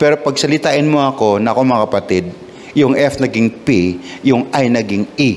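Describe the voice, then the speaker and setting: There is noticeable background noise as a man talks at a moderate pace with medium pitch. His loudness stays very even, and his pitch variation is ordinary. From Visayas, Philippines. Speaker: pastor. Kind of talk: sermon. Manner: halting, with repetitions and fillers.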